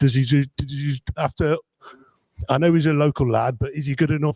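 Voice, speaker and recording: This man's voice sits fairly high in pitch. It comes across as somewhat breathy. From Coventry, English West Midlands. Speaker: football fan. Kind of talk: casual chat. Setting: hotel, live stream. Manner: halting.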